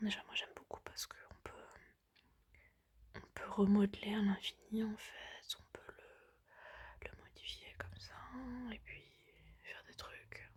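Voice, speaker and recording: A woman whispers at a fairly slow pace, her loudness swinging widely, with long pauses coming often. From lives in a country abroad, not France. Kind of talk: ASMR pillow talk to camera. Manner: soft-spoken, casual, chatty.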